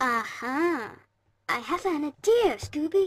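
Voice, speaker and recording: This cartoonish character voice sits at a high pitch and makes very wide pitch swings. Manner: rambling, hesitant.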